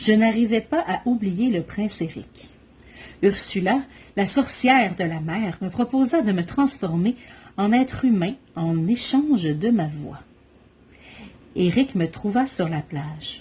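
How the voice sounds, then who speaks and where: A woman with a Quebec accent speaks at a very slow pace, taking long, frequent pauses. Her somewhat breathy voice has a dark, mellow tone and very wide pitch swings. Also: medium pitch for a woman. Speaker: mother of triplets. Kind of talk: children's story reading.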